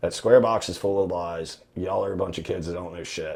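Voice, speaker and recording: A man puts on a character voice that is raspy and fairly low in pitch. He speaks at a fairly quick pace. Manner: commanding, scolding.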